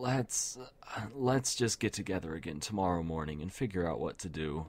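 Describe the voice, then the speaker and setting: Putting on a character voice, this man talks at a moderate pace, his pitch very deep and low and his tone raspy. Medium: read story. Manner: soft-spoken.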